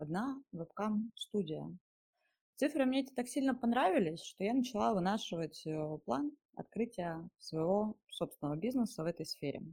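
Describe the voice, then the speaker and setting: A woman's fairly high voice comes out somewhat breathy at a moderate pace. Her pitch swings very widely. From Siberia, Russia (Mezhdurechensk). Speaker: webcam studio owner. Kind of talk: first-person storytelling.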